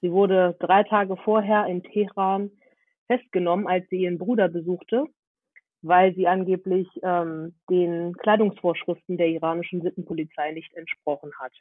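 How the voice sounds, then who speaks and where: Here is a woman with a plain, everyday voice and a fairly low pitch. She keeps a moderate pace and fairly even intonation. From Germany, Hannover. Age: 20s. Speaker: activist and student. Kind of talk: casual interview.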